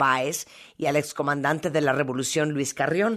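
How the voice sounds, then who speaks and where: A woman talks at a moderate pace. Her pitch is very deep and low, and the background is quiet. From Nicaragua. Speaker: radio host. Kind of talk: radio show.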